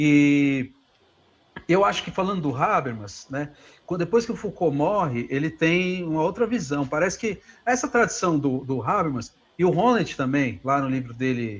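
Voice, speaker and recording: Moderate-paced talk from a man with a fairly high pitch and very wide pitch swings. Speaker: philosophy professor. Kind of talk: lecture Q&A answer. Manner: halting, many fillers.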